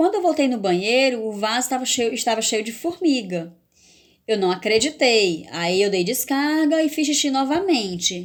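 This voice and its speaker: Speaking at a moderate pace, a woman uses a high pitch with very wide pitch swings. The recording is very clean, with a silent background. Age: 40s. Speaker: vlogger. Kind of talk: personal testimony vlog. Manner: halting, with repetitions.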